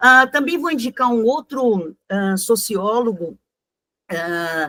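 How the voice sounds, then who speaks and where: Here a woman speaks at a fairly high pitch. Her very wide pitch swings come at a very slow pace. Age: 70s. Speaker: teacher. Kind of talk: lecture. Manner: halting.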